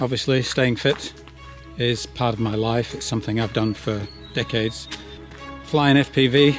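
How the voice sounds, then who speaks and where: With music in the background, a man speaks at a moderate pace in a monotone, flat intonation. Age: 60s. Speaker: van-dwelling vlogger and drone pilot. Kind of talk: casual talk to camera.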